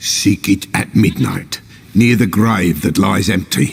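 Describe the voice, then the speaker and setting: A man's growling, put-on character voice, fairly low in pitch, fairly slow, with ordinary pitch variation. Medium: video game. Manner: cryptic, riddling, archaic speech.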